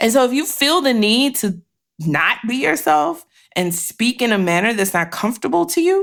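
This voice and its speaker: Fairly slow and animated in tone, the voice makes very wide pitch swings in a very clean recording with a silent background. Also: woman. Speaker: podcast host. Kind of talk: casual chat.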